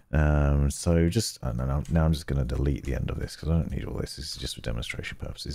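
At a very fast pace, a man talks with a very deep, low pitch and ordinary pitch variation over noticeable background noise. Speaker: gaming and tech video creator. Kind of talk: tutorial. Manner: thoughtful, measured pauses.

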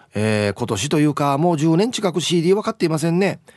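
Lively in intonation, a man speaks at a very fast pace in a dry sound with no echo. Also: quiet background. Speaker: radio host. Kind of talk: casual radio talk reading listener messages. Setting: studio. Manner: animated. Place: studio.

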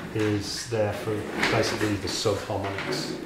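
A man's voice with audible room echo amid loud background noise. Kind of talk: interview answer explaining technique. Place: studio.

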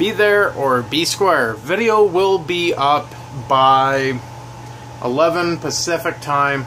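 Light background noise sits under a man whose pitch varies in an ordinary way. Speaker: vlogger. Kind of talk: casual vlog chat. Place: home room. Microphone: phone near.

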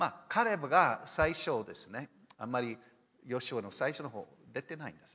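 The voice swings very widely in pitch and rises and falls sharply in loudness, with a bright, sharp tone. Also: man, fairly high pitch for a man, moderate pace. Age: 60s. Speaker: missionary pastor. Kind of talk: lecture. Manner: animated. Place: church.

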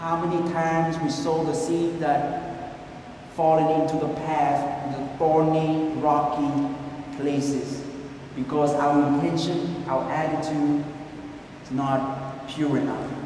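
A man talks at a very slow pace with a fairly high pitch and monotone, flat intonation. Strong room echo and light background noise surround his voice. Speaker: priest giving homily. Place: church. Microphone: camera far.

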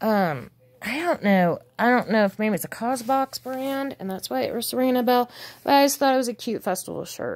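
A woman speaks in a high pitch at a moderate pace. Her pitch variation is ordinary. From Nevada, US West. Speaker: thrift reseller. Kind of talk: casual haul video. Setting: at home with cats. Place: home room. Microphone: phone near.

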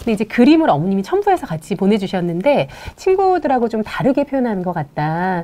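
A woman speaks at a very fast pace with a fairly high pitch. Her pitch swings very widely. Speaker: play therapist. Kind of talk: live parenting Q&A. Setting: studio live stream. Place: studio. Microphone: lapel.

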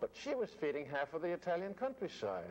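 There is light noise in the background. Over it, a man speaks fairly quickly. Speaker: actor interviewee. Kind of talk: interview answer. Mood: fond, wistful.

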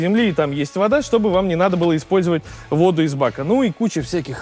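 Faint music plays in the background as a man speaks at a very fast pace. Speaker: car reviewer. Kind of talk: product walkaround commentary. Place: station.

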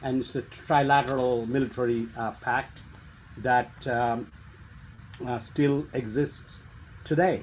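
A man talks at a very slow pace with long, frequent pauses and fairly even intonation. Light background noise sits underneath. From India. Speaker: policy researcher, speaker; speaker. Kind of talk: presentation. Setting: video call. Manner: halting. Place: home room. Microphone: webcam.

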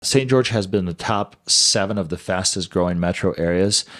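A man speaks at fairly low pitch and moderate pace in a normal speaking voice, against a quiet background. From US Midwest, Chicago. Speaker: real estate agent; real estate agent co-host. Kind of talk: presentation. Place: studio. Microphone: studio mic.

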